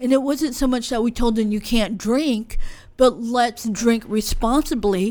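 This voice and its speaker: On a very clean recording with a silent background, a woman speaks in a normal speaking voice at a fairly high pitch. She talks at a fairly slow pace with ordinary pitch variation. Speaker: podcast host. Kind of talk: casual interview. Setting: studio.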